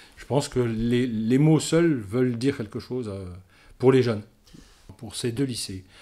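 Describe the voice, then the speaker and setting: A man's dark, mellow tone at a moderate pace with ordinary pitch variation, in a very clean recording with a silent background. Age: 60s. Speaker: air force reserve colonel and instructor. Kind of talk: interview. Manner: halting, many hesitations.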